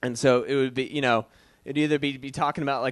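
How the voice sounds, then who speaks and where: Against a quiet background, the speaker has a slight Boston accent. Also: man. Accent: Boston accent, faint. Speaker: comedian. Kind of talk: stand-up. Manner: hesitant, many fillers.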